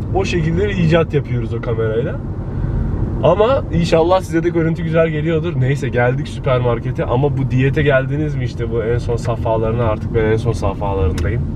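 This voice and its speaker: Against noticeable background noise, a man talks at a fairly quick pace, the sound dry with no echo. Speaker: vlogger. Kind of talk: casual vlog chat. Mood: irritated, joking. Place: car. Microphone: camera far.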